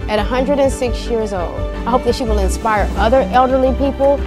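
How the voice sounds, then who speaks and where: At a moderate pace, the speaker goes on while clear music plays behind. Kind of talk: interview answer. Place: home room.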